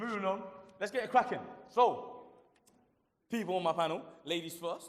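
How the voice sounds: It moves at a moderate pace. The pitch rises and falls in an ordinary way. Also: man, high pitch for a man.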